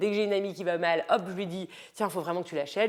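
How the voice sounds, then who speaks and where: A woman's fairly low voice races along at a very fast pace. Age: 30s. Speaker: lifestyle and style coach vlogger. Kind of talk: casual vlog book recommendations. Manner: hesitant, many fillers.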